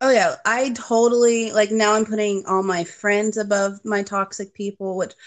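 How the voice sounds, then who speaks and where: A woman with a plain, everyday voice, medium pitch, fairly even intonation and a moderate pace against a quiet background. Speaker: program client guest. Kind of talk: casual interview.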